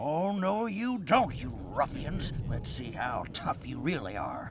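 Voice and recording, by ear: A man's cartoonish character voice, slow in pace, with big pitch swings. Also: fairly high pitch for a man.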